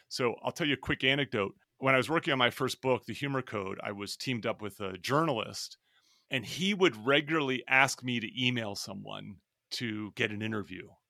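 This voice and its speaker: A bright, sharp male voice of medium pitch and ordinary pitch variation, dry and close with no echo in a very clean recording with a silent background. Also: fairly quick pace. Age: 50s. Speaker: business school professor. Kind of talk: interview.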